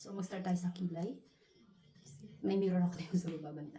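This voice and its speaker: A woman speaks quietly at a fairly low pitch with ordinary pitch variation. Music plays in the background. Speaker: beauty vlogger. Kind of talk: casual tutorial vlog. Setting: at home. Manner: quiet, low voice.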